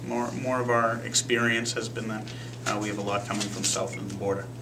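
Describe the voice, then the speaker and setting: Amid noticeable background noise, a man with a medium-pitched voice talks at a fairly quick pace. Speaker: police captain. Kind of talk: press conference answers to reporters.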